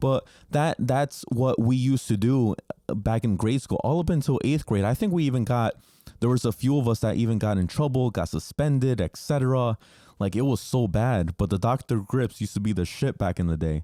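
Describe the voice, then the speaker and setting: A man talks at a fairly quick pace with lively intonation and a medium pitch, his tone dark and mellow. His loudness stays very even, and the sound is dry and close with no echo. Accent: Spanish. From New Jersey, US. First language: Spanish. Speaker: podcast host, entrepreneur. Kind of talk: casual monologue podcast. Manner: filler-heavy, repeats words.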